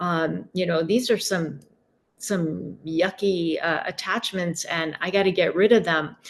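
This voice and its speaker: A woman uses an ordinary speaking voice at a fairly low pitch. She goes at a fairly slow pace with fairly even intonation. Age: 50s. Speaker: intuitive and energy healer. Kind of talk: interview.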